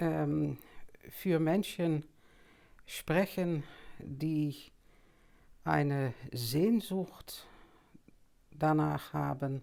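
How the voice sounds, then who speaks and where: A woman with a Dutch accent talks at a very slow pace in a very deep, low voice. She leaves long, frequent pauses. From Netherlands, Amsterdam. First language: Dutch (speaking German). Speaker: anthroposophy teacher. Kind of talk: lecture. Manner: halting, with many fillers.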